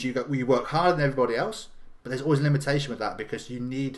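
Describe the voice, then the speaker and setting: Mumbled speech from a man with an English accent. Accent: English accent, self-described as weird. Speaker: business coach. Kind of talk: live stream talk to viewers. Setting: live video stream to camera. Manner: fast; mumbling.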